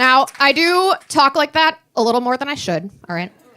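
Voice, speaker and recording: A woman's raised, projected voice, high in pitch, with an American accent and noticeable background noise. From Maryland. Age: 40s. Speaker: stand-up comedian. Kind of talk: live stand-up comedy set. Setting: live venue with audience. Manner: sardonic, angry joy.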